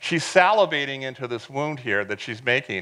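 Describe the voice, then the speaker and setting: Against noticeable background noise, a man talks at a medium pitch. His pace is fairly quick and his intonation lively. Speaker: professor. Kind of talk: lecture. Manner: fast.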